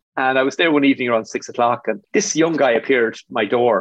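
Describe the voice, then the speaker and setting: This man speaks with an Irish Midlands accent. His pitch sits at a medium level. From Ireland, Athlone (rural midlands). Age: 50s. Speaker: business executive. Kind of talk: interview.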